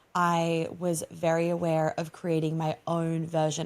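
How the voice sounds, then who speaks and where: Her voice sits fairly low in pitch. Behind it, the background is silent and the recording very clean. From Australia. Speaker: embodiment coach and author. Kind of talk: podcast interview.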